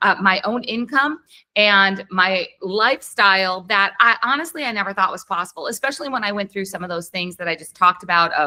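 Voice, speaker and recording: Her intonation is lively. A woman speaks in a bright, sharp tone. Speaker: special education coach and podcast host. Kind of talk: online workshop presentation. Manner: fast.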